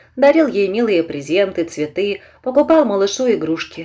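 A woman's dark, mellow tone at medium pitch, with lively intonation and a moderate pace. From eastern Ukraine, Donetsk region. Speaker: audiobook narrator. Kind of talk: reading aloud fiction.

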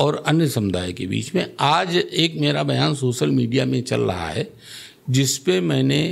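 Speaking at a very slow pace, a man's voice shows very wide pitch swings and vocal fry. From Lucknow, Uttar Pradesh, India; Uttar Pradesh. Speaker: local politician. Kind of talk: interview. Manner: assertive. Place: studio. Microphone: studio mic.

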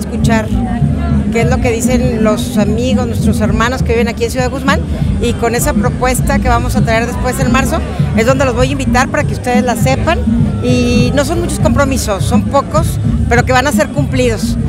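Loud music sits in the background of this dry, echo-free recording as a woman talks at a fairly quick pace. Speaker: politician. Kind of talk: interview answer to press. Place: street. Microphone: lapel.

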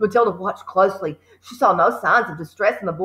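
The clip is reading aloud in a natural voice with ordinary pitch variation.

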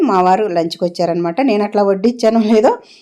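A woman is the speaker. Her voice has a dark, mellow tone. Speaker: cooking vlogger. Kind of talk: cooking tutorial.

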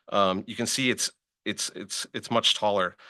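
The tone is nervous, bright and sharp, with ordinary pitch variation. The sound is dry and close with no echo against a quiet background. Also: man. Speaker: public commenter, neighbor. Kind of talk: public comment at meeting. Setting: public meeting chamber. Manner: fast; nervous, halting with repetitions.

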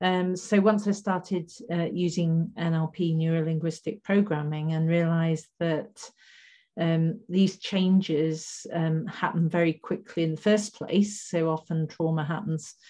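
A woman's fairly low, somewhat breathy voice with a dark, mellow tone and fairly even intonation, at a fairly slow pace against a quiet background. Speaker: guest. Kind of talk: interview answer. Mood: thoughtful, earnest. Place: home room. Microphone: video call.

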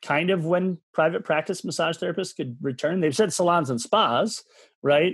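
The speech comes in an Upper Midwest accent at a moderate pace, the sound dry with no echo. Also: man, quiet background. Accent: Upper Midwest American. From Michigan. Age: 40s. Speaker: massage therapist and movement coach; podcast guest. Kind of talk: podcast interview. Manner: intense, extroverted; animated. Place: home room. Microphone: video call.

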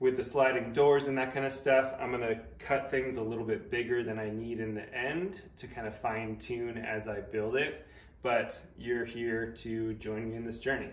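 A man talks at a moderate pace with fairly even intonation, and audible room echo surrounds his voice. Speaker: DIY woodworking creator. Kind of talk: tutorial. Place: workshop.

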